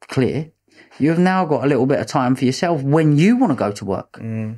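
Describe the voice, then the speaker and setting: A man talks with a dark, mellow tone and lively intonation. The background stays quiet. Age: 20s. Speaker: businessman; podcast guest. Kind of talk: interview. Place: studio. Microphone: studio mic.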